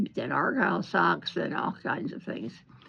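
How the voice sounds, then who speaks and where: Amid noticeable background noise, a woman speaks at a fairly slow pace with an American accent. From Central Florida, US. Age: 80s+. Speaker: retired knitter. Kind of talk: interview answer, reminiscing. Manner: hesitant, rambling.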